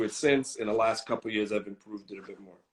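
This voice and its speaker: A man speaks with a Boston accent. His pitch is medium. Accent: US Boston-area English. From Boston, US (Greek American family). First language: Greek. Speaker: content creator. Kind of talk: interview. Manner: casual, relaxed.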